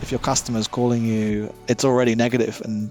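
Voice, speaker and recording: With music in the background, a man with an Australian accent talks at a very fast pace, his medium pitch kept in a monotone, flat intonation. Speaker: service manager. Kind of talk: interview answer.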